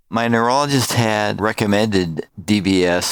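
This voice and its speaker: A man with ordinary pitch variation is heard over noticeable background noise in a dry, close sound with no echo. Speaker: person living with Parkinson's disease. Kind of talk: testimony.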